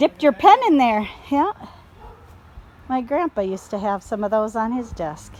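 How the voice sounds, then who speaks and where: With a Minnesota accent and a fairly high pitch, a woman speaks in an animated tone with lively intonation at a moderate pace, pausing often and at length over noticeable background noise. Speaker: video blogger. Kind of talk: casual chat. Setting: outdoors.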